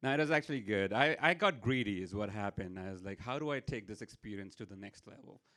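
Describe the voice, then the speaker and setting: With an Indian accent, a man speaks at a very fast pace with hardly any pauses, his fairly low-pitched voice bright and sharp in tone. His intonation is lively, his loudness swings widely, and the recording is very clean with a silent background. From India, Mumbai. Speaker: storyteller. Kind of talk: stand-up storytelling. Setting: stage with audience.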